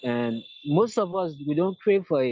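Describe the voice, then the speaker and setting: A man talks at a fairly slow pace in a Liberian accent. His tone is dark and mellow, and his intonation lively. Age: 20s. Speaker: activist. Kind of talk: interview.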